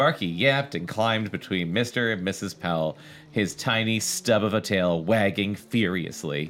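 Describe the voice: Ordinary pitch variation in plain reading aloud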